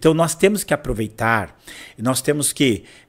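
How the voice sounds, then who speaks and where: A man at a fairly high pitch, moderate pace, quiet background. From São Vicente, São Paulo, Brazil; São Paulo, Brazil. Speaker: pastor and church history teacher; pastor, church history teacher. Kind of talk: guest interview, history lecture style. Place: studio. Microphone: studio mic.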